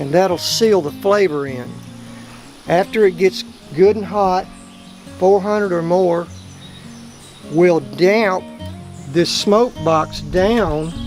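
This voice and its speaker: A man's high voice with a strong South Texas accent, very slow pace and long, frequent pauses, ordinary pitch variation, music in the background. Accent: thick South Texas. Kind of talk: cooking instructions.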